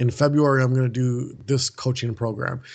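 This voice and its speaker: With an American accent, a man talks at a moderate pace in a monotone, flat intonation. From US Midwest, Milwaukee, Wisconsin. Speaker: author and speaker. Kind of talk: interview.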